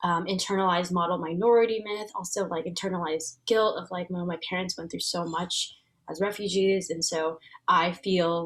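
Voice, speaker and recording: A woman speaks with a Vietnamese accent. Her voice is somewhat breathy. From US, Vietnamese American family. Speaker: transformation facilitator and entrepreneur. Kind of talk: interview.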